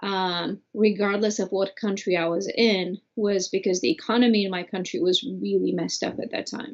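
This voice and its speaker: With a Bulgarian accent, a woman talks at a moderate pace and medium pitch, using ordinary pitch variation and hardly any pauses. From Bulgaria (Sofia). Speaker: immigrant, former au pair. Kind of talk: interview.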